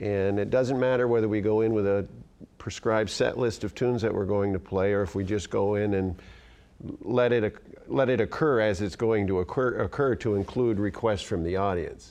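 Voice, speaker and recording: A normal speaking voice from a man with an American accent, very even loudness, fairly even intonation and a moderate pace. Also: fairly low pitch for a man. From Northern New York (near Malone). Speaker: music teacher and trumpet player. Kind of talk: interview.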